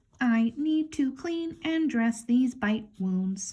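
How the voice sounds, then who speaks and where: A put-on character voice drawls out the words at a very slow pace. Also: woman, high pitch for a woman. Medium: read story.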